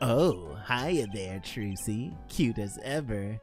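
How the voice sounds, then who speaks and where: A put-on character voice speaks at a very slow pace with a low pitch. Clear music plays in the background. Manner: creepy, unsettling.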